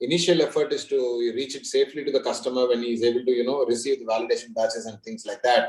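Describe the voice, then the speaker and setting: Words come at a very fast pace from a man. His pitch is medium, with ordinary variation. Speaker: panel moderator. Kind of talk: panel discussion.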